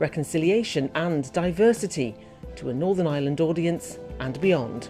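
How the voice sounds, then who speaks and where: Over music in the background, a woman with a very deep, low pitch speaks at a moderate pace with lively intonation. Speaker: podcast presenter. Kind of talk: podcast introduction.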